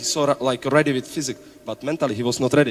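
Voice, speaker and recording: With a Czech accent, a man talks at a fairly high pitch for a man, his pitch varying an ordinary amount. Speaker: basketball coach. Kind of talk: panel talk at event. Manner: halting.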